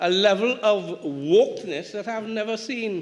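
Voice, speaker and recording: With a Tobago accent, a man speaks at a high pitch. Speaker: politician. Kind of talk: parliamentary debate speech. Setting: parliament chamber. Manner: halting, repeats words.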